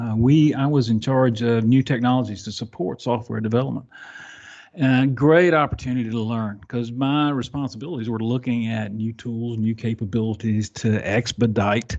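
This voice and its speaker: A man with a Southern US accent, medium pitch and ordinary pitch variation, at a moderate pace against a quiet background. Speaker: software delivery architect. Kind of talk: podcast interview. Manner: halting, many fillers.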